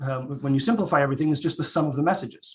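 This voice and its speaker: Very fast speech from a man, fairly high pitched and somewhat breathy, with ordinary pitch variation. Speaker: economics researcher. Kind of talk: conference talk.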